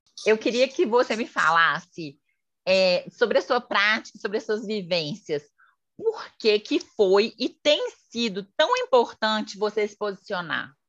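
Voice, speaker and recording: In an unremarkable speaking voice, a woman talks at a fairly slow pace. Her pitch is fairly high and her intonation lively. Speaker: podcast host, journalist and psychology student. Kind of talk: casual interview chat.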